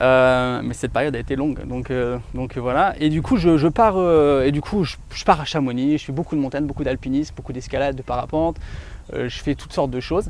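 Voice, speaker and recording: Using an ordinary speaking voice, a man talks at a fairly quick pace and fairly high pitch with ordinary pitch variation. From France, Grenoble region. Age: 30s. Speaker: real estate dealer, ex-soldier. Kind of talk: interview. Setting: outdoors in a forest.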